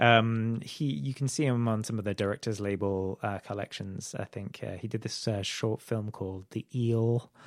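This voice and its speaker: A man with a British accent and a medium pitch, at a moderate pace with hardly any pauses and fairly even intonation, in a very clean, dry, close recording with a silent background and no echo. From UK. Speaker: filmmaker. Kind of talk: podcast interview. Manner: halting, many fillers and repetitions.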